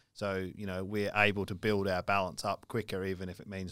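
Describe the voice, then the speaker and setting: The speech is fairly quick and monotone, with flat intonation and an Australian accent. The recording is very clean, with a silent background. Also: man. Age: 30s. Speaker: financial podcast co-host. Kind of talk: casual chat.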